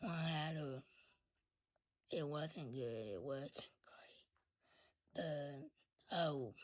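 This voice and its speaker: A woman with a very deep, low pitch speaks at a very slow pace, leaving long, frequent pauses, with big swings in loudness and ordinary pitch variation. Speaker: content creator sharing life story. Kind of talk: storytime monologue. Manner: voice cuts in and out; casual, halting.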